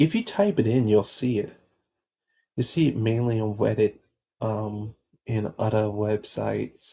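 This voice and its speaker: With a dark, mellow tone, a man's fairly low, somewhat breathy voice moves at a fairly slow pace with fairly even intonation and long, frequent pauses. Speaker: video creator. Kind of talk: casual monologue. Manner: halting, many fillers.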